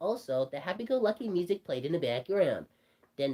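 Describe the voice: The clip is plain reading aloud.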